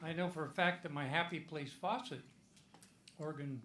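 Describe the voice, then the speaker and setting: A man with a Midwestern US accent, a fairly high pitch, a bright and sharp tone, and a moderate pace. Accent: US Midwest. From Iowa. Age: 80s+. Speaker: comedian. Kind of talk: stand-up.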